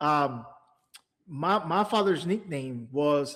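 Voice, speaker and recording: Fairly high in pitch, a man talks with lively intonation in an ordinary speaking voice. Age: 30s. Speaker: comic podcast co-host. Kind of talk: casual chat.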